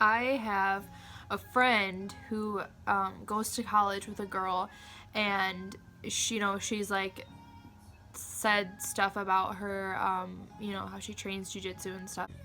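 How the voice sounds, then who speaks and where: A woman's medium-pitched voice with monotone, flat intonation and big swings in loudness, over music in the background. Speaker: martial arts practitioner. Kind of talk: casual talk to camera.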